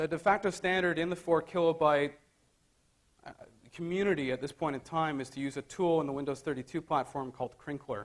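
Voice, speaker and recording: A man talks at a fairly quick pace with a Canadian accent. His pitch is fairly high, with ordinary pitch variation. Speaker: conference speaker. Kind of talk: technical conference talk. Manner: halting, many fillers.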